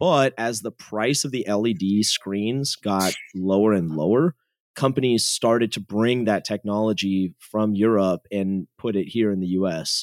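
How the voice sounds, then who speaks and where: With an American accent, a man in an unremarkable speaking voice talks at a fairly slow pace and fairly low pitch, his sound dry and close with no echo on a very clean recording with a silent background. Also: ordinary pitch variation. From US West Coast, San Jose, California. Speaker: tech company founder. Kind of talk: casual interview. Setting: podcast interview.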